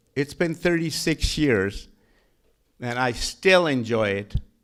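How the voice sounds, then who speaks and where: In a strong Pakistani accent, a man talks at a moderate pace with ordinary pitch variation. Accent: heavy Pakistani. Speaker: county treasurer and tax collector. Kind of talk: panel talk. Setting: stage with audience. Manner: halting, repetitive starts.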